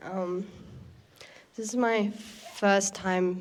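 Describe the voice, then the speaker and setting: With an Australian accent, a woman speaks using fairly even intonation. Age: young. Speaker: young artist. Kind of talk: speech to an audience. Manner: halting.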